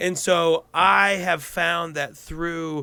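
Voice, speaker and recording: Loud and high-pitched, a man speaks with an American accent. His pitch variation is ordinary. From Colorado. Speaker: stand-up comedian. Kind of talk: casual interview chat. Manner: projecting, moderately loud; halting with repetitions.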